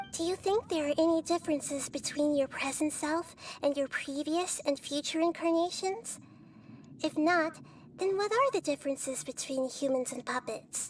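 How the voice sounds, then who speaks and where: A put-on character voice, high-pitched with a calm, gentle tone, at a moderate pace over clear background noise. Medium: video game. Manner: calm, gentle, philosophical.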